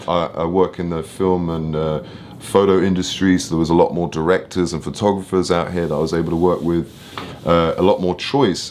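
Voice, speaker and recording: With an English accent, a man speaks at a fairly quick pace in a very deep, low pitch. His intonation is fairly even over noticeable background noise. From London, England. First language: French. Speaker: film and photo producer. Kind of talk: interview. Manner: casual.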